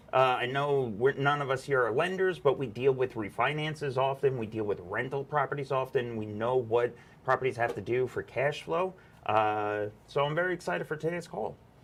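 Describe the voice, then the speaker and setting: Speaking at a fairly quick pace, a man has medium pitch and ordinary pitch variation. The recording is very clean, with a silent background. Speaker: podcast host. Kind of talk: casual interview livestream. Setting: live stream.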